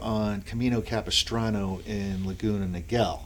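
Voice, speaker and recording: A man with a Boston accent, fairly low in pitch, with ordinary pitch variation and a fairly slow pace. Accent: Boston accent, noticeable. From Boston area, US. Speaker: small business owner. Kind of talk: podcast interview. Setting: office studio. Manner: hesitant, many fillers.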